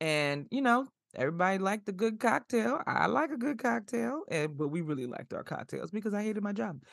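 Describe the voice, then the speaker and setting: Over a quiet background, a woman speaks at medium pitch in an animated tone with very wide pitch swings. Her pace is fairly quick, with hardly any pauses. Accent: American. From New York City (South Bronx, Flatbush). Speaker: podcast host. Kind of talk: casual chat.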